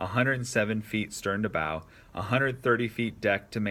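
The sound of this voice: The speaker reads in an unforced voice.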